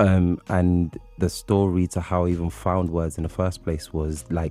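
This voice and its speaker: A man with a London accent and a very deep, low pitch, at a moderate pace with ordinary pitch variation, music playing in the background. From London, England (born in Nigeria). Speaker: poet and writer. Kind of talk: radio interview. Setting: radio studio.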